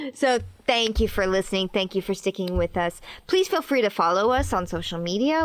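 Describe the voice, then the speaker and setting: Recorded very cleanly against a silent background, a woman talks at a fairly quick pace with very wide swings in pitch. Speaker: podcast co-host and stage performer. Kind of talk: casual chat. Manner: giggly.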